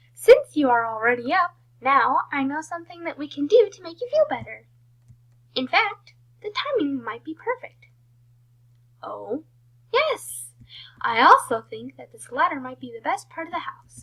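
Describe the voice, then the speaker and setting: Raised and projected, a put-on character voice moves at a moderate pace with very wide pitch swings and long, frequent pauses. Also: woman, high pitch for a woman. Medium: read story. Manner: loud, enthusiastic.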